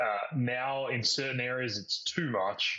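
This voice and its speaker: A man's medium-pitched voice with an Australian accent, at a fairly slow pace and with fairly even intonation. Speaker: webinar moderator, company executive. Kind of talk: webinar panel discussion. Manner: hesitant, many fillers.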